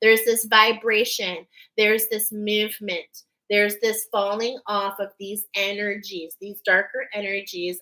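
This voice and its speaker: Using a put-on, robotic character voice, a woman speaks at a moderate pace and medium pitch with big swings in loudness. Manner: almost robotic, monotone.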